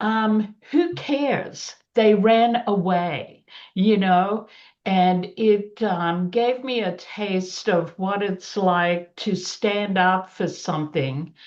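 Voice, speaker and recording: A woman's very slow, medium-pitched speech with an Australian accent and ordinary pitch variation, over a quiet background. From Australia, child of Yugoslav immigrants. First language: Yugoslavian (English is third language). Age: 70s. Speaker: panelist. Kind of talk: personal testimony.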